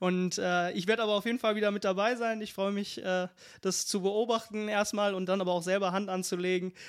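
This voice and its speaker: A man with a high pitch talks at a moderate pace in a monotone, flat way. The recording is very clean, with a silent background. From Lower Rhine, Germany (Meerbusch-Lank area). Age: 30s. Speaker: shooting club member. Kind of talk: casual interview.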